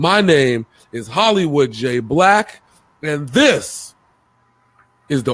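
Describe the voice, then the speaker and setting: A man's very slow speech with lively intonation and long, frequent pauses. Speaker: sports show co-host. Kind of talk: casual sports debate. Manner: animated.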